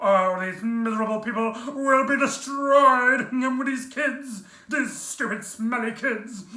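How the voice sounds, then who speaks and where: In a put-on character voice, the speaker talks at a fairly high pitch and a fairly slow pace. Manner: hammy, theatrical overacting.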